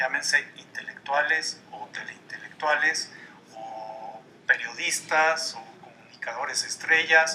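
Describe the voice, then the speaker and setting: Over noticeable background noise, the voice moves at a very slow pace with big swings in loudness. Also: man. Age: 60s. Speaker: columnist and political commentator. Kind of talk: TV interview.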